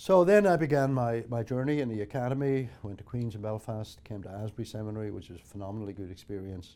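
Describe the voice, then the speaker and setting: A man with a Northern Irish accent talks very fast with hardly any pauses. His medium-pitched voice has a dark, mellow tone and ordinary pitch variation. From Northern Ireland. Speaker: theology professor. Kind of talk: personal testimony.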